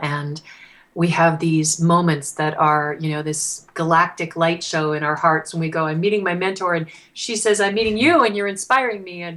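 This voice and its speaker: This is a plain, everyday voice, a woman with fairly low pitch. She talks at a moderate pace with ordinary pitch variation. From Canada. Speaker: singer-songwriter. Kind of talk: interview answer.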